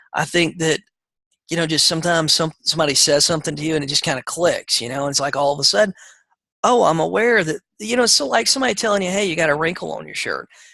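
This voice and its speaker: Talking at a very fast pace in a Southern US accent, a man with a fairly high pitch has a bright, sharp tone and vocal fry. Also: lively intonation. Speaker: real estate coach. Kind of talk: coaching call lecture. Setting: conference call. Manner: casual, filler-heavy.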